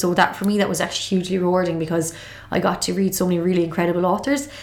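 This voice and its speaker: Speaking with a strong Galway accent, a woman keeps a fairly low pitch and fairly even intonation amid noticeable background noise. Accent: Irish, Galway, thick. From Galway, Ireland. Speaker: TV presenter. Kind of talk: casual interview chat. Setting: studio.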